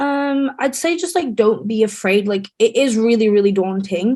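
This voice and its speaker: In an English accent, a woman talks with normal rises and falls in pitch. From England. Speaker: medical student studying abroad. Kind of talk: webinar interview. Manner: fast.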